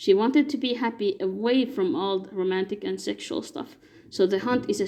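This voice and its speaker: A woman with a non-native accent speaks at a fairly high pitch with lively intonation. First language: not English. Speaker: fan fiction commentator. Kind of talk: explainer monologue. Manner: halting.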